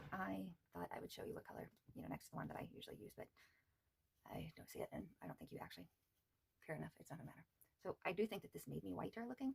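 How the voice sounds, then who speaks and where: A woman whispers at a very fast pace. Her speech has long, frequent pauses. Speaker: beauty vlogger. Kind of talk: makeup tutorial. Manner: soft-spoken; casual, hesitant.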